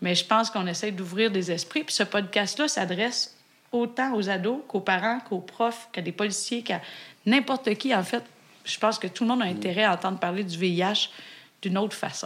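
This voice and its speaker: This woman talks fairly quickly. The rise and fall of her pitch is ordinary. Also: medium pitch for a woman. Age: 40s. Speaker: physician and podcast co-host. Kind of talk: casual chat.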